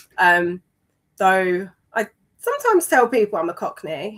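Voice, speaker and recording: With a London accent, a woman speaks at a medium pitch. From East London. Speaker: amateur runner in recovery. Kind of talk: interview. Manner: hesitant, many fillers.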